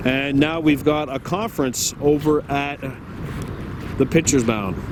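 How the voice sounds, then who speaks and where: A man speaks in a fairly high pitch. Noticeable background noise runs under his voice. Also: ordinary pitch variation. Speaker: baseball play-by-play commentator. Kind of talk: live commentary. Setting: outdoors at a ballfield. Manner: loud.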